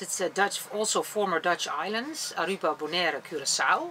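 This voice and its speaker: A woman's speech holds a moderate pace, with light background noise behind it. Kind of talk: interview answer. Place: boat.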